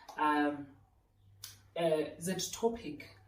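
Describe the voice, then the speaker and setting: A woman with a South African accent. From South Africa, Randfontein (West Rand). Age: 30s. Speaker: lifestyle youtuber. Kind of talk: casual Q&A vlog. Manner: chatty, talkative.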